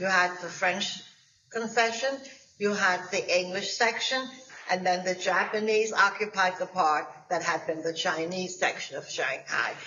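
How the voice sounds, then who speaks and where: Over noticeable background noise, a woman speaks at a fairly slow pace, with medium pitch and ordinary pitch variation. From Germany. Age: 90s. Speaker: Holocaust survivor. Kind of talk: testimony.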